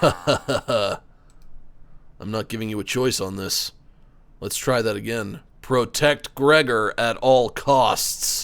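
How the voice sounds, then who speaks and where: Using a raspy, put-on character voice at a medium pitch, a man speaks at a very slow pace with long, frequent pauses. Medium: game stream. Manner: jokey, laughs at own puns.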